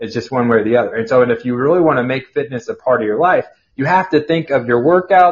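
A somewhat breathy man with an American accent talks very fast, with ordinary pitch variation. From Kansas. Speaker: personal trainer and fitness author. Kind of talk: podcast interview. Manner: halting.

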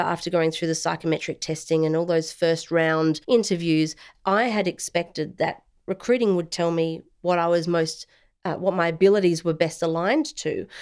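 A woman with an Australian accent talks at a moderate pace in a fairly low pitch with ordinary pitch variation. The recording is very clean, with a silent background. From South Australia. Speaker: former air force intelligence officer, veterans' organisation director. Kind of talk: interview. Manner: formal.

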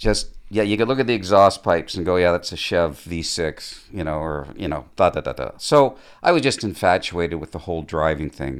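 A man speaks at a moderate pace with a Canadian accent. His pitch is very deep and low. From Ontario, Canada (Mississauga). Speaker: stuntman and stunt driver. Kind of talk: casual chat.

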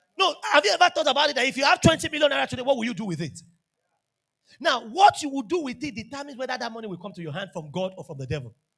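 With a Nigerian accent, a man races along at a very fast pace, his extremely high voice swinging very widely in pitch and greatly in loudness. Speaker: pastor. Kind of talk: sermon. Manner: animated.

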